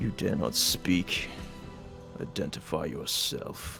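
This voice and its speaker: A man bellows in a put-on character voice at a fairly slow pace. Clear music plays in the background. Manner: commanding, imposing.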